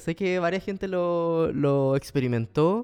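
Against a quiet background, a man with a Chilean accent talks at a fairly slow pace, his fairly high pitch showing ordinary variation. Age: 20s. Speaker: podcast host. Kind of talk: casual monologue. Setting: at home. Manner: animated.

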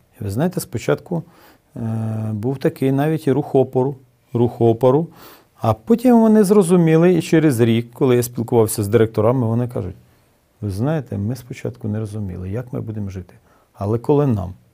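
A man talks in a dark, mellow tone. His intonation is lively and his pace fairly quick. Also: medium pitch for a man. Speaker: city mayor. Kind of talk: interview. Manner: hesitant with filler sounds.

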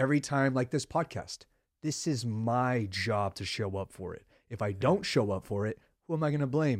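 On a very clean recording with a silent background, a man talks in an ordinary speaking voice at a moderate pace and a medium pitch. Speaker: podcast host. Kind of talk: casual interview conversation.

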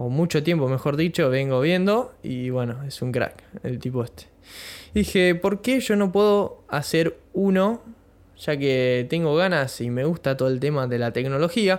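At a fairly slow pace, a man speaks in a fairly high pitch with lively intonation. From Argentina, Bahía Blanca (Buenos Aires province). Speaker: podcaster. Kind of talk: casual monologue. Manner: halting, many fillers.

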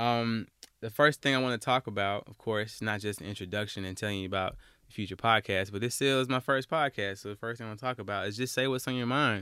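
In an Alabama accent, a man talks very fast at a medium pitch with ordinary pitch variation and a bright, sharp tone. The recording is very clean, with a silent background and a dry, close sound with no echo. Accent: Southern US (Alabama). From US South, Alabama. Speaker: podcast host. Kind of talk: casual monologue. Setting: home closet recording. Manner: animated.

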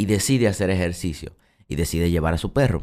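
A man speaks at a fairly quick pace with a very deep, low pitch and a dark, mellow tone, on a very clean recording with a silent background. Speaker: self-help podcast host. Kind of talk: solo motivational monologue.

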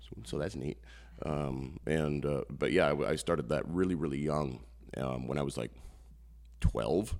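With a Midwestern US accent, a man speaks at a moderate pace in a very deep, low voice with vocal fry, ordinary pitch variation and long, frequent pauses. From northeast Iowa (Postville). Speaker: comedian-magician. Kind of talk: casual interview.

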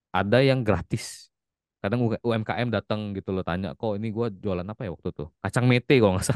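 A man with a slight Palembang accent at a fairly low pitch, fairly quick in pace, ordinary in pitch variation, with a dry, close sound with no echo and a quiet background. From Palembang, South Sumatra, Indonesia. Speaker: IT worker and TikTok content creator. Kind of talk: casual interview chat.

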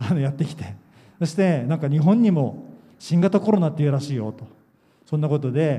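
Through audible room echo, a man with a dark, mellow tone and fairly high pitch speaks at a fairly quick pace with lively intonation. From Japan, Yokohama. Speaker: pastor. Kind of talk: sermon. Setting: church camp gathering.

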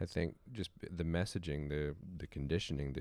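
A man's very deep, low pitch with vocal fry and fairly even intonation. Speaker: host's partner. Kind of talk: casual chat.

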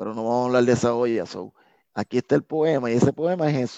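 A man speaks at medium pitch with a dark, mellow tone and ordinary pitch variation. The sound is dry and close with no echo, against a quiet background. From Puerto Rico, San Juan. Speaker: street poet and reggaeton artist. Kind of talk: interview and poetry reading.

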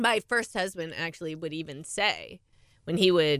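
A woman with an American accent speaks at a moderate pace in a bright, sharp tone. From US (California, then Oklahoma). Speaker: podcast co-host, author. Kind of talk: casual chat.

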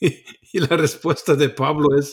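A man with a German accent speaks at a fairly slow pace. His voice is somewhat breathy and fairly high in pitch. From Germany. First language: German (speaking Spanish). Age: 60s. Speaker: preacher, author. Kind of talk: interview on Bible teaching.

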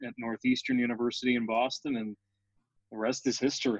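A man with an American accent and a plain, everyday voice talks at a fairly quick pace and medium pitch with fairly even intonation, in a dry, close recording with no echo. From New York (Brooklyn). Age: 20s. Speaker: hockey play-by-play broadcaster. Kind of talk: interview.

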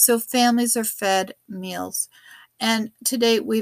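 The recording is very clean and dry, close up with no echo and a silent background. The speech is monotone and flat, at a fairly slow pace. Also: woman. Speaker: podcast host. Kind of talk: podcast interview.

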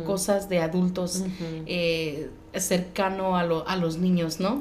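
A woman talks at a fairly slow pace amid noticeable background noise and audible room echo. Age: 30s. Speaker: podcast host. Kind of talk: interview. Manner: halting.

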